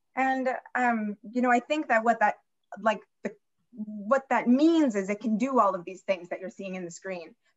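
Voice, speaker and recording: Speaking at a moderate pace, a woman with a fairly high pitch shows ordinary pitch variation and big swings in loudness. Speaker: museum curator and moderator. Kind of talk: slide presentation in online talk. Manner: animated.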